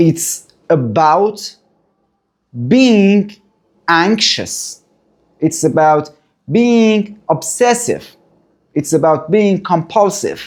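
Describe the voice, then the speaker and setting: With a non-native accent, a man talks at a very slow pace with long, frequent pauses, very even loudness and ordinary pitch variation. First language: not English. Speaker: therapist sharing recovery story. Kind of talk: personal testimony. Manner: halting.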